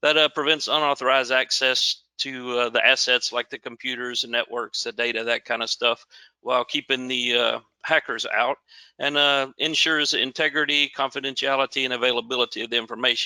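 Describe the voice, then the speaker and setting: A man with a Southern US accent has a bright, sharp tone at a medium pitch. He speaks in a flat monotone, and the sound is dry and close, with no echo. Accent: southern drawl. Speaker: security manager presenting a webinar. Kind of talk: webinar presentation.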